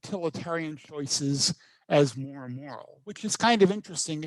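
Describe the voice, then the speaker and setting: This man's intonation is lively as he talks at a moderate pace. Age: 60s. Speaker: professor. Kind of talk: lecture.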